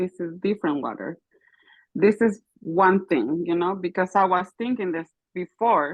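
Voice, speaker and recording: A woman speaks with a non-native accent at a fairly low pitch. Her pace is fairly slow and her pitch variation ordinary. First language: not English. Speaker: caller sharing a testimony. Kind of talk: testimony. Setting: call-in while driving. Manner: halting.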